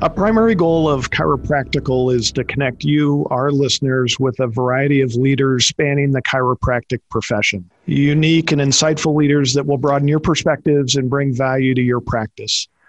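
Hardly pausing, a man talks at a fairly quick pace with fairly high pitch, ordinary pitch variation, very even loudness and an unremarkable speaking voice. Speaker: podcast co-host. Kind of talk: interview.

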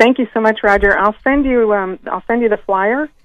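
Here is a woman with an unremarkable speaking voice. She speaks at a fairly quick pace with lively intonation. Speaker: local party organizer. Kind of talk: radio interview.

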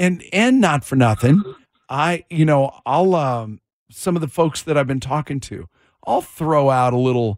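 A plain, everyday voice from a man, fairly high in pitch with lively intonation at a fairly slow pace, in a very clean recording with a silent background. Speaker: radio host. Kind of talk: casual chat on a morning radio show. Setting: radio studio.

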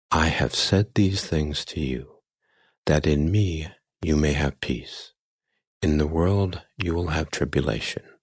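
A man's very deep, low voice, somewhat breathy, soothing and calm, with ordinary pitch variation over a quiet background. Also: fairly slow pace. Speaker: sleep story narrator. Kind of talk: guided sleep meditation, gentle first-person nature story. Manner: slow, soft-spoken, soothing and calm.

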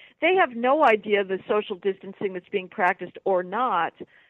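Moderate pace and ordinary pitch variation in a woman's medium-pitched voice. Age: 60s. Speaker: policy writer. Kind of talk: radio interview. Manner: animated.

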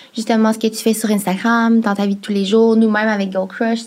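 Somewhat breathy and monotone, a woman speaks at a fairly quick pace. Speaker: podcast co-host. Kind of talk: casual chat.

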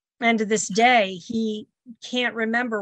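Against a quiet background, a woman speaks with an unremarkable speaking voice and fairly even intonation. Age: 60s. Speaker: grandmother and caregiver. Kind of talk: radio interview.

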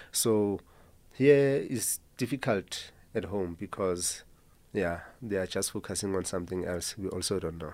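This man speaks with a South African accent at a fairly slow pace, his fairly low pitch moving with ordinary variation in a very clean recording with a silent background. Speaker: band guitarist. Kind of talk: radio interview. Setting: studio.

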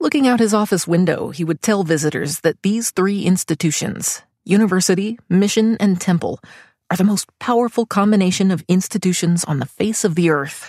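At a fairly quick pace, a somewhat breathy woman with a medium pitch speaks with very even loudness and ordinary pitch variation, in a dry, close sound with no echo on a very clean recording with a silent background. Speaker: podcast narrator. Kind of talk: scripted narration. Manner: formal.

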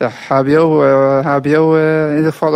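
A man speaks in a fairly high pitch. His intonation is flat and monotone. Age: 20s. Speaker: trainee electrician. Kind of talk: field interview. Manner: halting.

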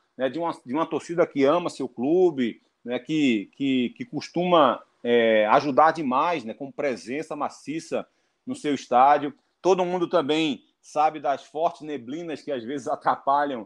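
Over a quiet background, a man talks at a fairly slow pace in an ordinary speaking voice. His pitch is fairly high with ordinary pitch variation. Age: 40s. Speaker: football pundit. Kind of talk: interview.

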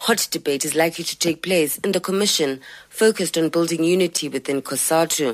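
In a plain, everyday voice, a woman talks at a fairly quick pace with fairly low pitch and ordinary pitch variation, the sound dry and close with no echo. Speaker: radio reporter. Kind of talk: news report.

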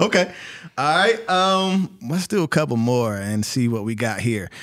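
With an American accent, the speaker talks at a fairly slow pace and swings very widely in pitch. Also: man. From North Carolina. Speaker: podcast host. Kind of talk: casual interview chat.

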